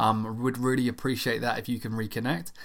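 A man with a plain, everyday voice moves at a fairly quick pace, his medium pitch held in fairly even intonation. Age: 30s. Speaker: podcast host. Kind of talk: casual solo Q&A podcast.

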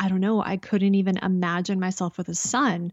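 A woman with a Canadian accent at a medium pitch, moderate pace and monotone, flat intonation. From Canada. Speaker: intuitive guide and clairvoyant. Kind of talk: casual interview chat.

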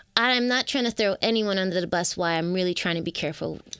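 A Toronto accent with ordinary pitch variation, on a very clean recording with a silent background. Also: woman. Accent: Toronto Canadian English. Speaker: singer-songwriter. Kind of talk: interview conversation.

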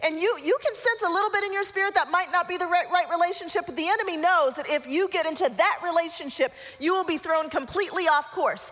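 With an American accent, a woman talks at a very fast pace with hardly any pauses, her pitch extremely high. Her tone is warm and playful, and noticeable background noise runs beneath her. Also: ordinary pitch variation. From Colorado, US. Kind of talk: guided visualization inside a church talk, leading the audience with eyes closed; church talk to a young adult group. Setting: church with live audience. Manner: warm and playful, with laughs.

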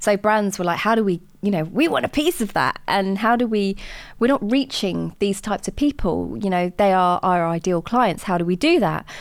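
In a very clean recording with a silent background, a woman with a southern English accent speaks at a medium pitch with ordinary pitch variation. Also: moderate pace. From southern England, Watford in Hertfordshire. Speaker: entrepreneur and diversity consultant. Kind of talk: interview.

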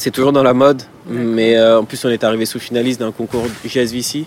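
The speech comes at a moderate pace in a monotone with flat intonation. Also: man. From Paris suburbs, France (Villepinte, Seine-Saint-Denis). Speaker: entrepreneur. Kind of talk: interview. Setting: outdoor terrace.

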